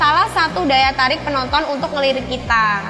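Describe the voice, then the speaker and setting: A woman's high, shrill voice is raised and projected. Music plays in the background, and room echo is audible. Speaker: school channel host. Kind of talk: tutorial. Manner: casual, filler-heavy; loud at times.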